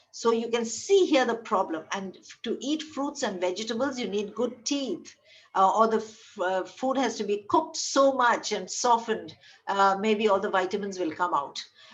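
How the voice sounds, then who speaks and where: Audible room echo surrounds a woman speaking at a fairly high pitch with lively intonation. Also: moderate pace. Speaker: medical lecturer. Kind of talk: lecture.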